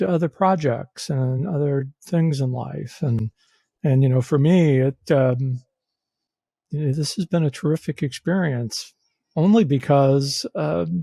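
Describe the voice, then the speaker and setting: In a dry, close recording with no echo, a man with a fairly high pitch and a dark, mellow tone speaks somewhat breathily at a fairly slow pace with lively intonation. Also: very clean recording, silent background. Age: 60s. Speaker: podcast co-host. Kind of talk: casual chat. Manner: halting.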